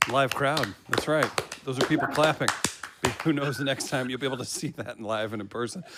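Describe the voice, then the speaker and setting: A man with an American accent at a very fast pace, with long, frequent pauses, ordinary pitch variation and noticeable background noise. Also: medium pitch for a man. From Missouri. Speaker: show host. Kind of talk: live show chat.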